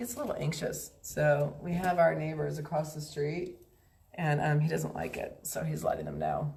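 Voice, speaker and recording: Audible room echo follows the voice. The woman talks at a moderate pace. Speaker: pet food company founder hosting a live stream. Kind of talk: casual live stream talk.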